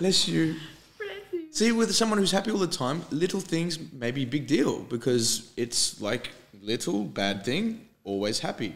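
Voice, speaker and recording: Fairly high in pitch, a man speaks at a fairly slow pace with very wide pitch swings. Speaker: English teacher and podcast host. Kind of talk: casual chat as an English lesson. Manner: animated.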